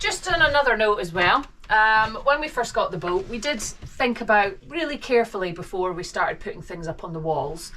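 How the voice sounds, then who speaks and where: Amid noticeable background noise, a woman talks at a fairly quick pace with hardly any pauses, her fairly high pitch swinging very widely. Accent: Scottish. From Scotland. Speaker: vlogger. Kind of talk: home tour. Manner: hesitant, many fillers.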